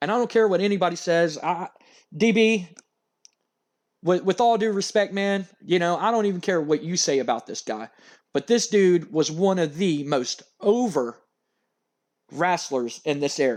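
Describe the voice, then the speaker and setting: A man with an American accent, high-pitched, with lively intonation, a moderate pace and long, frequent pauses. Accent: Louisiana Cajun accent, slips out at times. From Louisiana, US South. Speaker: gaming YouTuber. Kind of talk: casual chat. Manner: rambling, hesitant.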